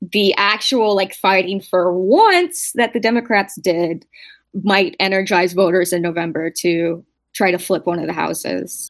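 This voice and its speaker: A woman speaks in a normal speaking voice. Her pitch is medium, with ordinary pitch variation. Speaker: podcast host.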